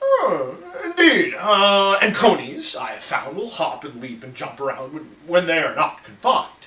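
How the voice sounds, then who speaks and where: Putting on a character voice, a man speaks high-pitched at a moderate pace with hardly any pauses and big swings in loudness. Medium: solo performance. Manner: blustering, slow-witted.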